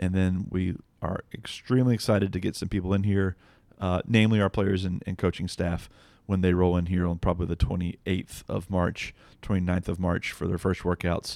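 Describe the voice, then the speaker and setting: A very deep, low-pitched man's voice at a fairly quick pace, monotone and flat, on a very clean recording with a silent background. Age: 30s. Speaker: podcast co-host, baseball team assistant general manager. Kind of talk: casual chat.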